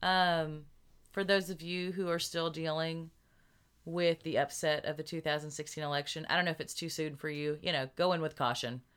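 Over a silent background in a very clean recording, a woman with a fairly low voice speaks at a moderate pace in a flat, monotone way. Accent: Southern US. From Arkansas, US South. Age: 30s. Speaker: podcast co-host. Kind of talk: casual chat.

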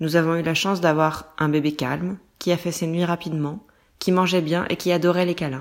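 In a very clean recording with a silent background, a woman speaks at a fairly quick pace, her fairly low voice monotone and flat. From France. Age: 20s. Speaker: management controller and mother. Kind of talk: scripted narration. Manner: clear, measured for learners.

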